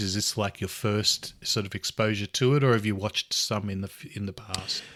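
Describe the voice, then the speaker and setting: With an Australian accent, a man speaks at a fairly quick pace, his fairly low pitch carrying a bright, sharp tone and fairly even intonation, in a dry, close sound with no echo. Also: very clean recording, silent background. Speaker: podcast host. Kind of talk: casual chat.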